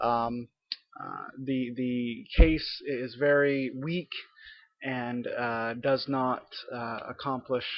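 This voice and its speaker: Speaking with monotone, flat intonation, a man has a medium-pitched voice. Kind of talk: webcam monologue rebuttal. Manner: halting, many fillers.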